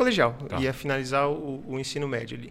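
A man is speaking. His tone is bright and sharp. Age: 20s. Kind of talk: casual interview chat. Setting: studio.

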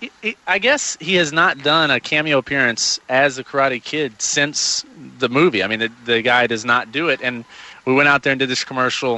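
A man speaks at a moderate pace with an unremarkable speaking voice. His pitch is fairly high and varies in an ordinary way. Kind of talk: casual chat.

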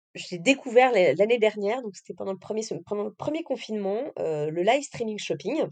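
A woman speaks at a fairly quick pace with a fairly high pitch and lively intonation. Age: 30s. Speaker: category management professional. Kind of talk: interview. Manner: halting, many fillers.

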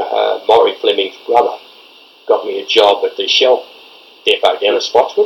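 A man with an Australian accent talks at a moderate pace against noticeable background noise. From Victoria, Australia (Castlemaine area). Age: 70s. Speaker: retired footballer. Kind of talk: oral history interview. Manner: halting.

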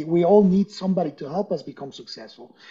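Fairly quick speech with a Spanish accent. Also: man. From Ecuador (Quito), moved to US at 12. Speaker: entrepreneur and business coach. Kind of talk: interview.

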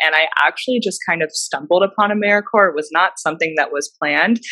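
The tone is bright and sharp, with ordinary pitch variation. Delivery moves at a fairly quick pace. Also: woman. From Alaska, Anchorage. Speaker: recent graduate student. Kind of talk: interview.

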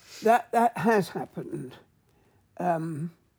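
With an English accent, a woman speaks very slowly in a fairly low, dark, mellow tone and lively intonation. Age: 80s+. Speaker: mushroom expert and author. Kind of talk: interview.

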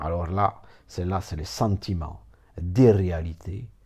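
Somewhat breathy, a man speaks with a very deep, low pitch and a dark, mellow tone. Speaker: therapist. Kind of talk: informal lecture. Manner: rambling, repetitive, digressive.

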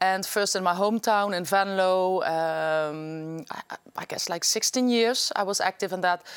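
A woman at a medium pitch speaks in a Limburg accent. Her pace is fairly slow, with ordinary pitch variation. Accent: Dutch (Limburg) accent in English. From Netherlands, Limburg (Venlo). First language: Dutch. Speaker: politician. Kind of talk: interview. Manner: halting.

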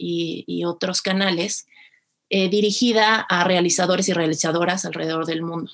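At a moderate pace, a woman speaks with fairly even intonation in an unremarkable speaking voice. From Mexico City. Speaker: film festival producer. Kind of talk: interview.

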